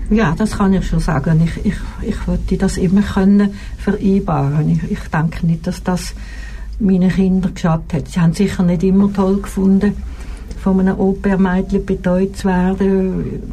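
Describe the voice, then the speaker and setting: A woman's voice at a moderate pace, very even in loudness, with audible room echo. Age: 70s. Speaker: retired nurse. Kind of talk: casual chat. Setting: studio. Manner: halting.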